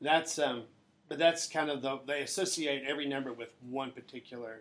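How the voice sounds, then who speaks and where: The speech has fairly even intonation and a moderate pace. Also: man. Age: middle-aged. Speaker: church family pastor. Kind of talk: casual chat.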